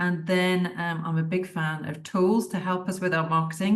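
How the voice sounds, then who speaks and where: A woman with a British accent speaks at medium pitch and a moderate pace. Her voice is somewhat breathy, and room echo is audible. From United Kingdom. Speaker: digital marketing tutor. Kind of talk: webinar lecture. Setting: video call. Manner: casual and conversational.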